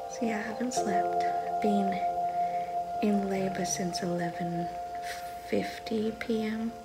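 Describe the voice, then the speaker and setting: A woman at a fairly slow pace, with loud music in the background. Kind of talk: casual vlog chat. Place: home room. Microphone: phone near.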